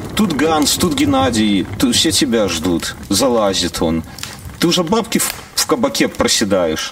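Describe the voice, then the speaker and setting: A man's voice at a fairly slow pace, very even in loudness, over noticeable background noise. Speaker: podcast host. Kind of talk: casual chat. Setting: video call.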